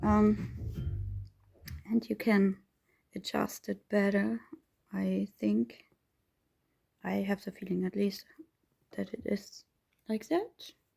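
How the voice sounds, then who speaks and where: Long, frequent pauses break up this woman's very slow speech. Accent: German. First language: German. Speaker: reborn doll hobbyist vlogger. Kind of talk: casual chat while crafting tutorial. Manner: halting, searching for words.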